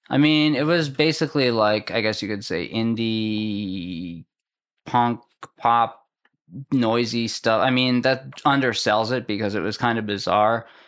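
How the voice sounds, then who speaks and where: Speaking in a normal speaking voice with an American accent, a man keeps a medium pitch, ordinary pitch variation and a fairly slow pace on a very clean recording with a silent background. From Massachusetts. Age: 30s. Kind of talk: casual chat. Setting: in person.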